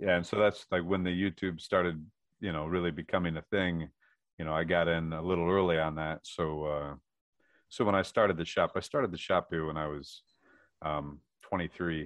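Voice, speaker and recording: A man's very deep, low voice at a fairly quick pace, broken by long, frequent pauses. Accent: American. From Michigan. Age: 30s. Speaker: welder and metal artist. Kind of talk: casual interview.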